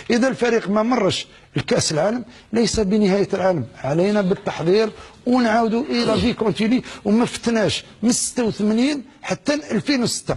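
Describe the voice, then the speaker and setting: A man with an Algerian accent speaks at a moderate pace and a high pitch. His loudness stays very even, and his pitch varies in an ordinary way. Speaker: former footballer. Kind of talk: TV interview answer.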